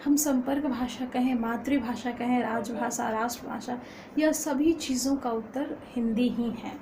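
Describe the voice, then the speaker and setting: A high-pitched woman with a Bihari accent and fairly even intonation, amid audible room echo and noticeable background noise. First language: Magahi (speaking Hindi). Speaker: college student and poet. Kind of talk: informal lecture. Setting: at home. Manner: halting with frequent fillers.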